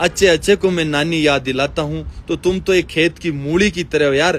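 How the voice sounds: The speaker is a man at a moderate pace. His pitch shows ordinary variation. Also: fairly high pitch for a man.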